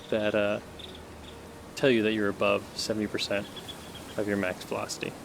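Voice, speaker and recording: A soft-spoken man with a fairly low pitch talks at a moderate pace amid noticeable background noise. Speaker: indie VR game developer. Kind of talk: casual tutorial demo. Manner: soft-spoken, quiet.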